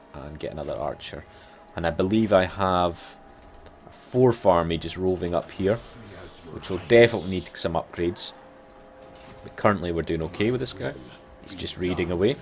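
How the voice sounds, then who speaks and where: With a Scottish accent, a man talks in a very deep, low pitch with ordinary pitch variation, big swings in loudness, and long, frequent pauses. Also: fairly quick pace. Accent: Scottish, rolled R's. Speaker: gaming YouTuber. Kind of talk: let's play commentary. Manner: casual, conversational.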